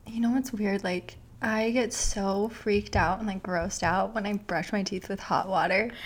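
A woman speaks at a moderate pace with hardly any pauses, her voice somewhat breathy and her intonation fairly even. The recording is very clean, with a silent background. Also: medium pitch for a woman. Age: 20s. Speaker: writer and mental health advocate. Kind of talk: casual interview.

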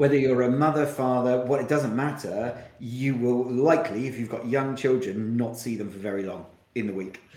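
Noticeable background noise behind a man at medium pitch, with ordinary pitch variation and a moderate pace. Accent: southern English. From Kent, south-east England. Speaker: marketing agency founder and CEO. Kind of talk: podcast interview. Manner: hesitant, frequent repetitions.

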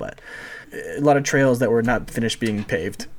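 At a moderate pace, a man talks in an ordinary speaking voice, his pitch medium and its variation ordinary. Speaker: podcast guest, friend of the show. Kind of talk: casual chat.

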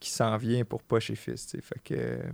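A man's voice comes through dry and close with no echo, in a very clean recording with a silent background. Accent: Quebec. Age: 30s. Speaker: clothing entrepreneur. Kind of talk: casual chat.

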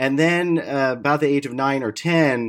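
The recording is very clean, with a silent background. A man with an American accent and an unremarkable speaking voice talks at a moderate pace with ordinary pitch variation. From US Midwest, Detroit suburbs. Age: 50s. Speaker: clean tech business founder. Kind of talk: interview.

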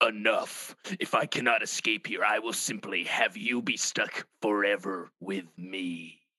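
A man does a put-on character voice with fairly low pitch. He goes at a fairly slow pace with hardly any pauses. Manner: menacing.

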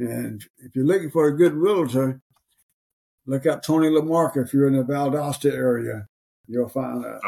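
A man with an Alabama accent, a fairly high pitch and a dark, mellow tone, at a moderate pace with ordinary pitch variation. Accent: Alabama Southern US. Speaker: podcast co-host. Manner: casual, folksy.

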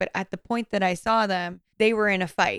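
In a normal speaking voice, a woman with a medium pitch talks at a moderate pace, with a dry, close sound and no echo. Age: 30s. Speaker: podcast co-host. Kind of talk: casual chat. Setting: remote recording over Zoom.

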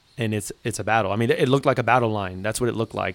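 The speaker talks with an American accent and fairly even intonation. It is an unremarkable speaking voice. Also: man. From South Florida, Miami. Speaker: police lieutenant. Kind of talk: casual interview.

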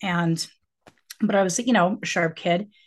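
A woman with a Western US accent against a quiet background. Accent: General American (Western US). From Colorado, outside Denver. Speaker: author and professor. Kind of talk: interview. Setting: video call.

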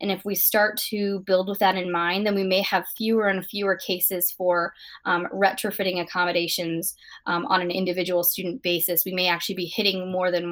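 A woman's monotone, flat delivery at a moderate pace. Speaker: accessibility expert guest. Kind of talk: interview. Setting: remote, at home with dog.

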